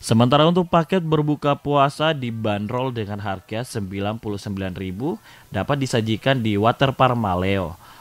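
A man with an ordinary speaking voice, medium pitch and lively intonation, at a fairly slow pace with hardly any pauses, on a very clean recording with a silent background. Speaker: news reporter. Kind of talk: TV news report, read as scripted voiceover. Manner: formal, steady and even-paced; polished, promotional, clearly enunciated.

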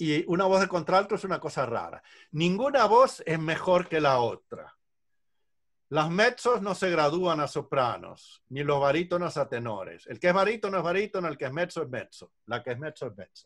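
Lively intonation carries speech at a moderate pace over a quiet background. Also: man, high pitch for a man. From Uruguay. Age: 60s. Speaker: vocal coach and music director; vocal coach. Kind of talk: online workshop lecture. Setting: video call. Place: home room. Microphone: video call.

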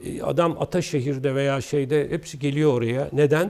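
At a moderate pace, a man speaks with a fairly high pitch and a dark, mellow tone. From Istanbul, Turkey; Turkey. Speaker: architect; guest. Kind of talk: interview. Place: studio. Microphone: lapel.

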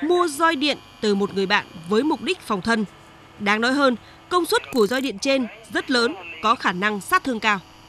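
Amid noticeable background noise, a woman with a high pitch speaks at a moderate pace with lively intonation and long, frequent pauses. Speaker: TV news reporter. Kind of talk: scripted narration. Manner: formal.

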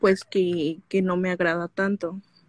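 Against a quiet background, a woman speaks at a fairly slow pace, the sound dry with no echo. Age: 20s. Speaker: caller, young graduate; caller. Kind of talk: personal conversation. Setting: live stream call. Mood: unsure, somewhat troubled, shy. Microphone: video call.

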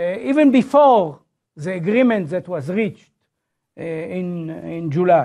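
A man's high, dark and mellow voice, with very wide pitch swings, at a fairly slow pace over a quiet background. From Israel. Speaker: professor. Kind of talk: lecture. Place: classroom.

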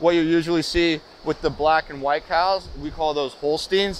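With light background noise and a dry sound free of echo, a man talks at a moderate pace with ordinary pitch variation. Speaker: dairy farmer tour guide. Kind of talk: casual tour explanation. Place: farm.

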